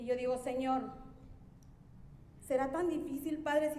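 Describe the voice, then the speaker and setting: In a room with audible echo, a woman speaks fairly slowly in a monotone, flat intonation. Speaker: church member preaching. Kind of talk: sermon.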